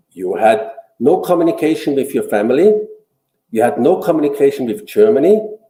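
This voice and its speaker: Amid audible room echo, a man talks at a fairly quick pace, his fairly high pitch swinging very widely. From Austria. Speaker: businessman. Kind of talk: interview. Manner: halting.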